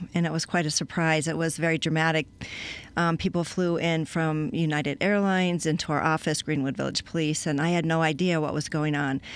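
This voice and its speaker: A woman with an American accent talks at a fairly quick pace in a very deep, low pitch. Her intonation is monotone and flat, and the sound is dry with no echo. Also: very even loudness. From Colorado. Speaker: cash flow consultant; guest. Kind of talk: interview. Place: studio. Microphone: studio mic.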